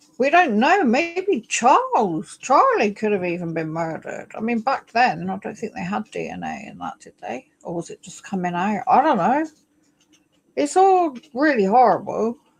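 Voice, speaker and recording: A woman with an English accent, moderate pace and big swings in loudness. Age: 60s. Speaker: live streamer. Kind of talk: casual livestream chat. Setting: home livestream on laptop. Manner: halting. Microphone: new laptop.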